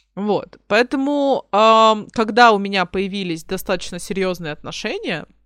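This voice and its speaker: In a very clean recording with a silent background and a dry, close sound with no echo, a woman speaks at a very slow pace. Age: 20s. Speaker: podcast co-host. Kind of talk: casual chat. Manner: direct, outspoken.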